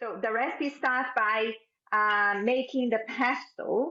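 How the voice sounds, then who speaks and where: A woman with a Brazilian accent speaks fairly slowly at a fairly high pitch, with ordinary pitch variation. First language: Portuguese. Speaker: cooking instructor. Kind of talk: cooking class tutorial.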